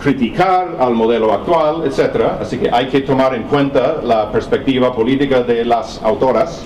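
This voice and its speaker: A man with a non-native accent is heard with audible room echo and noticeable background noise. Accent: foreign accent in Spanish. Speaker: professor. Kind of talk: lecture. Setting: seminar with audience. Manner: halting.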